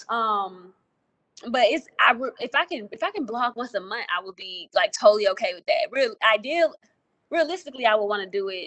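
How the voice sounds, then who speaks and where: A woman speaks with an Alabama Gulf Coast accent and ordinary pitch variation. The sound is dry and close, with no echo. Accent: Southern US (Alabama Gulf Coast). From US South, Mobile, Alabama. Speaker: army veteran and law fellow. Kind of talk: casual interview.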